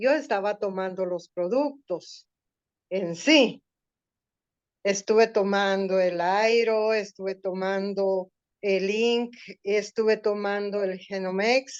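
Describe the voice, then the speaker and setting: A woman speaks at a very slow pace, her medium-pitched voice keeping a fairly even intonation. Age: 60s. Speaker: customer giving testimony. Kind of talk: testimony.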